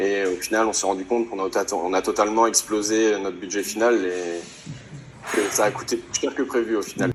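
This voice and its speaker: With noticeable background noise behind him, a man of fairly low pitch speaks at a moderate pace with fairly even intonation. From Normandy, France (Alençon). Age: 20s. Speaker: rally participant. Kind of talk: interview. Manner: hesitant, many fillers.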